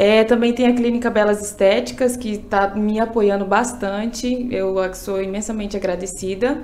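A woman with a normal speaking voice talks at a moderate pace in a fairly high pitch, showing ordinary pitch variation and hardly any pauses. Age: 20s. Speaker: beauty pageant contestant; candidate. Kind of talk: casual interview. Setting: studio. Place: studio. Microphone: studio mic.

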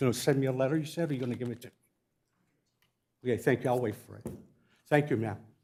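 A man speaks with fairly even intonation in a somewhat breathy voice. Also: long, frequent pauses, big swings in loudness. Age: 60s. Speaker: war veteran speaking at public comment. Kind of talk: public comment. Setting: city council chamber.

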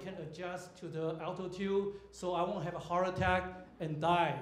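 The speech moves at a moderate pace. Room echo is audible. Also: man. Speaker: comedian. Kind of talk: stand-up comedy set at a comedy club. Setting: stage with audience. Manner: storytelling build-ups punctuated by abrupt punchlines; halting, filler-heavy delivery with frequent uhs and restarts. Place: stage.

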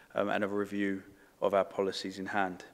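At a fairly quick pace, a man talks with a fairly low pitch. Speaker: council transport officer. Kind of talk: formal presentation to a panel. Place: meeting room. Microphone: podium.

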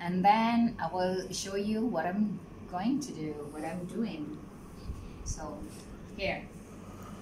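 A woman at a very slow pace with long, frequent pauses and ordinary pitch variation, amid noticeable background noise. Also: medium pitch for a woman. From Philippines. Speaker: vlogger. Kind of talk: casual vlog narration. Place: home room. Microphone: phone near.

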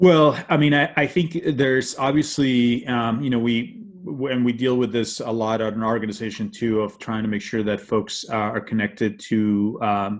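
Few pauses interrupt a man speaking at a moderate pace and medium pitch, with little pitch movement.

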